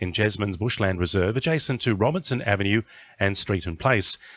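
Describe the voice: A man speaks with a fairly bright tone and lively intonation.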